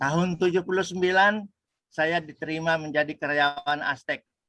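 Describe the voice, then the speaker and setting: Recorded dry and close with no echo, a man speaks at a moderate pace in a bright, sharp tone. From West Sumatra, Padang. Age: 60s. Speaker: religious lecturer, retiree. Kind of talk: religious talk with life story. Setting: religious study gathering. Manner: hesitant, with frequent fillers.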